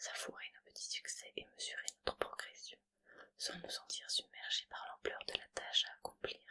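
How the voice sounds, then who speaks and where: A woman whispering, dry and close with no echo, with big swings in loudness. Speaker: ASMR creator. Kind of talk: positive affirmations reading. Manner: soft-spoken, slow.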